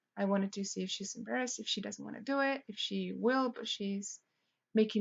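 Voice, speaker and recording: This woman speaks at a medium pitch. She has a non-native accent. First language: Spanish. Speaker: student teacher. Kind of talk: lesson plan presentation. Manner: halting.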